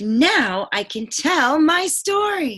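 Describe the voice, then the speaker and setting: A woman puts on a character voice with a high pitch. Her pitch swings are very wide. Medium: read story. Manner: slow, yawning.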